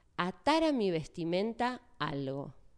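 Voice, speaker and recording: A woman with a Rioplatense accent speaks very slowly, her pitch fairly low and her intonation lively. The recording is very clean with a silent background. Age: 40s. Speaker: church speaker. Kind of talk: sermon.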